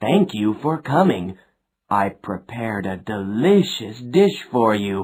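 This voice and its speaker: A man's put-on character voice at a medium pitch, delivered at a fairly slow pace. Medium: read story.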